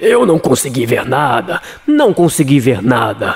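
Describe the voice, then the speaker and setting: Using a put-on character voice, a man talks slowly-ish, at a fairly slow pace, with a fairly high pitch. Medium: read story. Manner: chatty, boastful.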